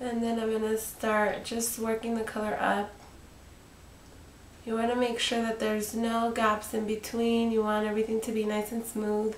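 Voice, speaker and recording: A woman speaks at a moderate pace with monotone, flat intonation, with audible room echo and noticeable background noise. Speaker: makeup artist. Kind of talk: makeup tutorial. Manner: casual, halting with fillers.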